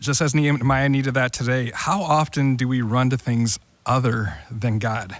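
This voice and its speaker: A man's normal speaking voice at medium pitch, very even in loudness, with ordinary pitch variation and a moderate pace. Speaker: church podcast host. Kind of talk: casual discussion.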